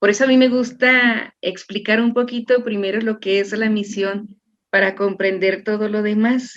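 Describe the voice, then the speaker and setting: Speaking fairly slowly, a woman uses a fairly high pitch with monotone, flat intonation. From Chihuahua, northern Mexico. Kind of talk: interview explanation.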